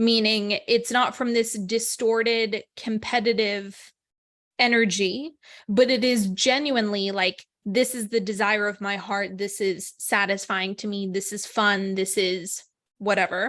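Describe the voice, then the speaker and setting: With an unremarkable speaking voice, a woman talks at a fairly slow pace, with medium pitch and fairly even intonation against a quiet background. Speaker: spiritual podcast host. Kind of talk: spiritual talk monologue.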